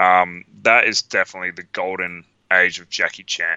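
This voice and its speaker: This man speaks with an Australian accent at a moderate pace. His pitch is fairly low. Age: 30s. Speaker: podcast co-host, film fan. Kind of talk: casual chat. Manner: animated.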